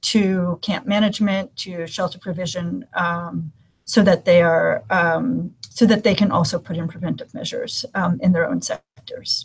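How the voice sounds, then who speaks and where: A woman at a moderate pace with hardly any pauses. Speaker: humanitarian gender specialist. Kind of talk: webinar presentation. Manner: frequent fillers (um, uh).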